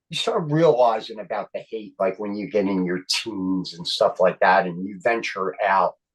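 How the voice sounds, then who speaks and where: A man talks at a fairly slow pace with a Philadelphia accent. His pitch swings very widely. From Philadelphia, Kensington. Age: 60s. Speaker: comedian and actor. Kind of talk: casual chat.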